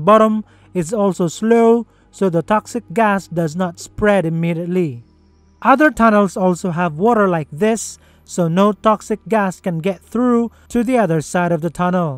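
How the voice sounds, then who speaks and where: With music in the background and a dry sound with no echo, a man speaks at a high pitch and moderate pace with ordinary pitch variation. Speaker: narrator. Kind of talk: documentary explainer narration.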